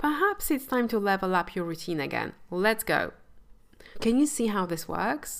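A woman's warm tone at a moderate pace, with very wide pitch swings. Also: medium pitch for a woman. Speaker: mindset coach and podcast host. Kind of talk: solo podcast monologue about mindset. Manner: warm, compassionate, motivational.

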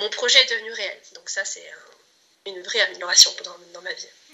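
A woman speaks at a moderate pace. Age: 30s. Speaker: client giving a testimonial, aspiring entrepreneur. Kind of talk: testimony. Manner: halting, many hesitations and repetitions.

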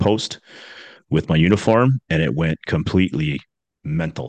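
Very deep, low-pitched man with an Ontario accent, a dry, close sound with no echo and a quiet background. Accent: Canadian (Ontario). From Ontario, Canada (east of Toronto). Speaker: former police officer. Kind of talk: casual interview chat. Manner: animated.

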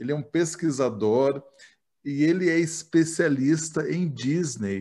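At a very slow pace, a man speaks with a fairly high pitch and ordinary pitch variation. The background is quiet. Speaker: podcast host. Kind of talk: casual interview chat.

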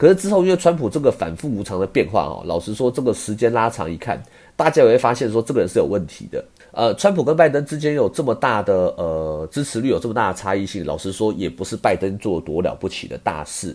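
Very fast speech from a man, the pitch swinging very widely. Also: medium pitch for a man. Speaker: podcast host, stock commentator. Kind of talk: casual monologue.

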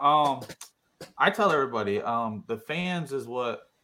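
Here a man's medium-pitched voice has a bright, sharp tone. His pitch swings very widely. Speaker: drag racer. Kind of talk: casual interview.

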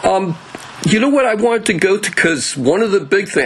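With noticeable background noise behind him, a man with an American accent talks at a fairly quick pace, using very wide pitch swings. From New Jersey. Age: 60s. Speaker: podcast host. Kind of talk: interview. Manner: halting.

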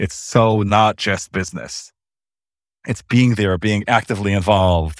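On a very clean recording with a silent background, a man with an ordinary speaking voice talks in an American accent at a fairly low pitch with fairly even intonation, the sound dry and close with no echo. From US, Los Angeles. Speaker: lawyer. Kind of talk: interview.

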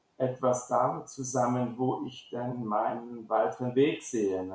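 Very slow in pace, a man speaks at a medium pitch. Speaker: school principal. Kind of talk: interview. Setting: online call. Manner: halting, many fillers.

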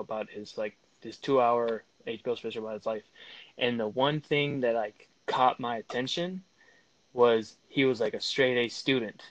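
A man with an American accent talks at a moderate pace, his pitch medium and his intonation fairly even. He has a normal speaking voice. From California and North Dakota (Fargo). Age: 20s. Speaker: former Marine, podcast guest. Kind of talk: casual chat. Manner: casual slangy storytelling.

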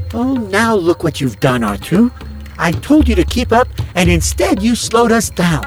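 Clear music sits in the background. Over it, a man performs a put-on character voice. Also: moderate pace. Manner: fretful, prissy, complaining.

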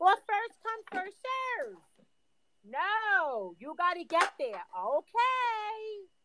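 A woman with an extremely high pitch speaks at a very slow pace in a raised, projected voice. Her tone is bright and sharp, with lively intonation and big swings in loudness. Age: 50s. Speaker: podcast co-host. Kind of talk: casual chat.

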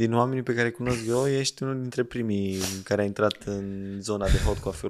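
Keeping to a moderate tempo, a man talks in an unremarkable speaking voice whose pitch varies in an ordinary way. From Romanian provinces. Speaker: podcast host. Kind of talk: casual chat.

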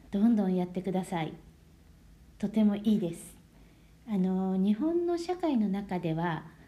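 With long, frequent pauses, the voice has a dark, mellow tone, is somewhat breathy, and shows ordinary pitch variation. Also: woman, medium pitch for a woman. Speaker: Japanese language teacher. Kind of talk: lesson for learners. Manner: slow, clear speech.

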